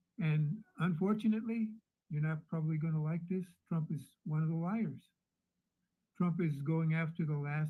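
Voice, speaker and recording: A man speaks at a moderate pace with a fairly high pitch, a dark, mellow tone and ordinary pitch variation. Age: 70s. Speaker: caller. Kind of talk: heated debate.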